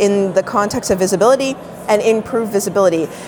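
Noticeable background noise behind a woman's medium-pitched voice at a fairly quick pace, with ordinary pitch variation. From Canada, Toronto. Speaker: digital marketing consultant. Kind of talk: interview.

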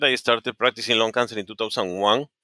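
A man's medium-pitched voice with ordinary pitch variation and a bright, sharp tone, dry and close with no echo, on a very clean recording with a silent background. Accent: Spanish. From Peru. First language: Spanish. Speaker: oncologist. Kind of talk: interview. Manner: halting.

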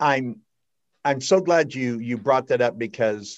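A man's voice, with a quiet background. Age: 60s. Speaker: podcast host. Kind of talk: casual chat. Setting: studio. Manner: animated.

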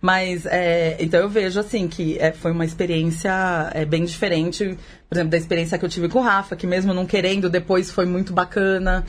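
The delivery is monotone and flat at a fairly quick pace. The background is quiet. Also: woman, medium pitch for a woman. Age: 40s. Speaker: podcast guest, mother of three teenagers. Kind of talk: casual chat.

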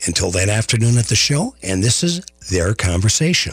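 An American accent at a moderate pace. The voice is somewhat breathy. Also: man. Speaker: radio host. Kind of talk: radio interview show. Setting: studio.

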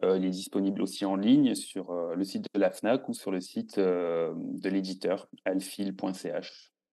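Against a quiet background, a man talks at a very slow pace with hardly any pauses. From southern France. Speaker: food photographer and cookbook author. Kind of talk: casual interview.

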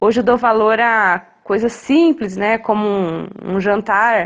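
A woman with a normal speaking voice, fairly high in pitch, with fairly even intonation. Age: 30s. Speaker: wheelchair user sharing experience. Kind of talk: recorded testimony.

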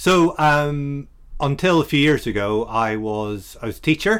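This man speaks with an Irish accent at a moderate pace, his fairly high pitch moving in lively intonation. The recording is very clean, with a silent background. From Ireland. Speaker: freelance web developer, former teacher. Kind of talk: casual chat. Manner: lilting.

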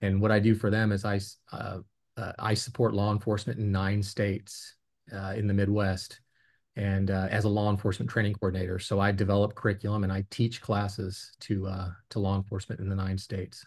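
A somewhat breathy voice speaks fairly quickly with an American accent and flat, monotone intonation. The background is quiet. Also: man, fairly low pitch for a man. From Virginia. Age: 50s. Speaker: former federal drug agent. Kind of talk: interview. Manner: halting, many fillers.

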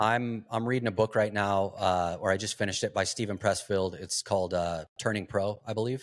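A man talks in an unremarkable speaking voice, fairly low in pitch, with fairly even intonation. His pace is fairly quick with hardly any pauses, in a very clean recording with a silent background. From Arizona. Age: 40s. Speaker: entrepreneur and investor. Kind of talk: interview.

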